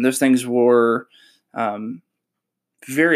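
The recording is very clean, with a silent background. A man talks with a Southern US accent. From North Carolina, Shelby. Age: 20s. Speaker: podcast host and author. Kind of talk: solo podcast monologue. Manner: halting, many fillers.

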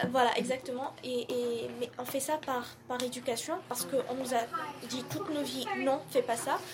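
At a fairly slow pace, a woman speaks in a high pitch over noticeable background noise. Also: ordinary pitch variation. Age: 20s. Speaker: university student. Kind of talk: casual discussion. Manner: halting, repeats words.

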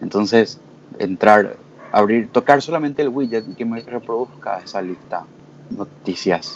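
A man with a plain, everyday voice speaks at a fairly slow pace, at medium pitch with ordinary pitch variation. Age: 20s. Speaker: lawyer, community member. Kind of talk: casual panel discussion.

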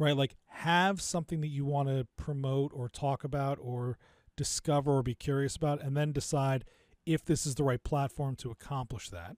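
A normal speaking voice with ordinary pitch variation comes at a moderate pace, in a dry, close sound with no echo on a very clean recording with a silent background. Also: man, fairly high pitch for a man. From New Jersey. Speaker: podcast producer, entrepreneur. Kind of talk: interview.

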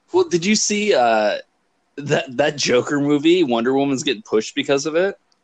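An ordinary speaking voice from a man, fairly high in pitch, with lively intonation at a moderate pace. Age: 30s. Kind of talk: casual chat.

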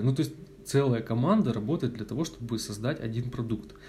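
A man's somewhat breathy, dark, mellow voice at medium pitch and a moderate pace. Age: 20s. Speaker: podcast host. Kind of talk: casual chat. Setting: at a friend's home.

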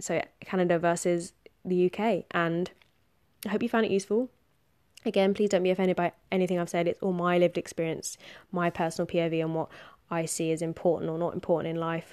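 A woman with a southern English accent, fairly low in pitch, at a fairly quick pace with monotone, flat intonation, in a very clean recording with a silent background. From southern England. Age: 20s. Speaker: podcast host. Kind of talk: solo monologue podcast. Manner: casual, filler-heavy.

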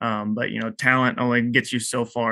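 Close and dry with no echo, a man with an American accent speaks in a bright, sharp tone against a quiet background. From Texas. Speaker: college basketball coach. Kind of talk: interview. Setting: video call.

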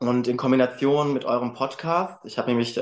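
A man with a normal speaking voice, medium in pitch, at a fairly quick pace with fairly even intonation against a quiet background. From Germany, Frankfurt. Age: 20s. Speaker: male model and student. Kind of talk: podcast interview.

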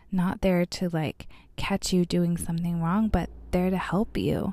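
A woman with an American accent, dark and mellow in tone, at a fairly slow pace on a very clean recording with a silent background. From Arizona (Bullhead City). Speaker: podcast host, city council member. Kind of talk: solo podcast monologue.

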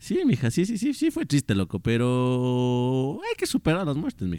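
In an animated tone, a man speaks at a fairly high pitch and a moderate pace. His pitch swings very widely, and the sound is dry and close with no echo. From Ecuador. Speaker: podcast co-host, TikToker. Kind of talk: casual chat. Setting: at home.

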